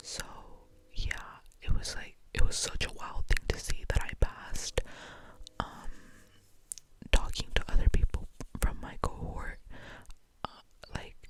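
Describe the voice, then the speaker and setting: A woman whispers at a moderate speed as noticeable noise carries on behind her. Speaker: university student, ASMR creator. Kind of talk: ASMR ramble, casual talk to camera. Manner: soft, whispered, chatty.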